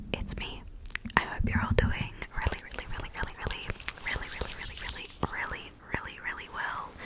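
Whispering in a soft-spoken way at a moderate pace, a woman is heard over loud background noise in a dry sound with no echo. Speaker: ASMR creator. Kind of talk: casual vlog chat. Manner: close-mic ASMR whisper, soft greeting. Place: home room. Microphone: studio mic.

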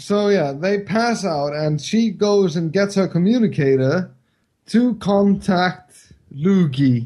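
Speaking very slowly in an Icelandic accent, a man has a high pitch. His tone is dark and mellow. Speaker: co-host and writer. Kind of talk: casual comedic movie review chat.

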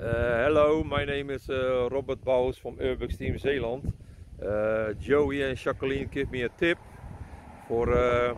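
Noticeable background noise runs under the voice. The sound is dry, with no echo. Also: man, ordinary pitch variation, fairly slow pace. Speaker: urban explorer vlogger. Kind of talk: casual vlog chat. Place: open country. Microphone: phone near.

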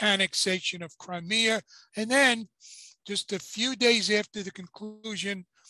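A man speaks in a raised, projected voice at a fairly slow pace with fairly even intonation. The sound is dry with no echo, over a quiet background. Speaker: boxing commentator co-host. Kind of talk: commentary. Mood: critical, indignant. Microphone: video call.

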